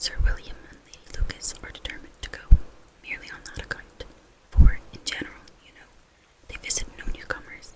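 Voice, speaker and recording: Amid noticeable background noise, the speaker whispers at a fairly quick pace. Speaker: ASMR reader. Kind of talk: read classic novel chapter. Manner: whispered.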